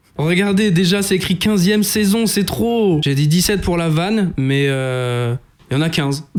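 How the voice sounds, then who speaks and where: A high-pitched man speaks at a fairly slow pace in an animated tone, with lively intonation and very even loudness over noticeable background noise. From France. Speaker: YouTube reaction video creator. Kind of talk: casual reaction commentary.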